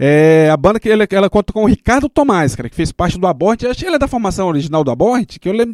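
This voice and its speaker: A man's very fast speech with very wide pitch swings, in a very clean recording with a silent background and a dry, close sound with no echo. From Brazil, Samambaia (Federal District). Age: 30s. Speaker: radio host and underground musician. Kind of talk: casual radio chat and interview. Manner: casual, slangy.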